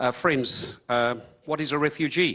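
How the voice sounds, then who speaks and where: Against a quiet background, a man with an Australian accent speaks in a bright, sharp tone. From Hungary. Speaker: refugee speaker. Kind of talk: personal testimony. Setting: conference stage with audience.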